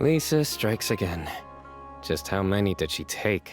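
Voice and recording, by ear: With faint music in the background, a man talks slowly in a put-on character voice.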